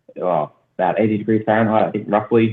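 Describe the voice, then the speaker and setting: With an Australian accent, a man speaks very fast at a fairly low pitch with fairly even intonation. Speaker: aquaponics youtuber. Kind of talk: podcast interview.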